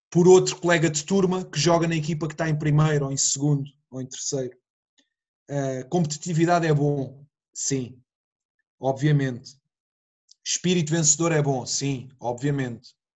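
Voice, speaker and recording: A man speaks at a moderate pace with a fairly high pitch and somewhat breathy voice. His intonation stays fairly even, broken by long, frequent pauses. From Portugal, Setúbal district. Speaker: football coach. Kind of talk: casual interview.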